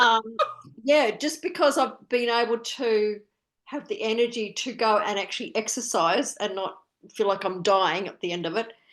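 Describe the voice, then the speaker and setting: At a moderate pace, a woman with an Australian accent talks with lively intonation. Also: fairly high pitch for a woman. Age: 60s. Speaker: wellness program participant. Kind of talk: casual chat. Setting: video call. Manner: halting.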